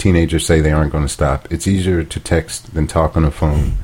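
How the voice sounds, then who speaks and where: Fairly quick, fairly even speech with an American accent over noticeable background noise. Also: man. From US South. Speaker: podcast co-host. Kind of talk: casual chat. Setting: home dining room.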